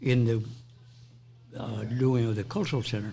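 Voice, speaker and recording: With music playing behind him, a man keeps a medium pitch and ordinary pitch variation while talking at a moderate pace. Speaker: interview guest, public figure. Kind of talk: interview conversation.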